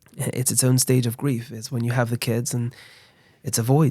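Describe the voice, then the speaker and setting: Soft-spoken man, medium pitch, dark and mellow in tone, at a fairly quick pace. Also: very clean recording, silent background. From London, England. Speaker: rabbi, charity founder. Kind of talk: interview.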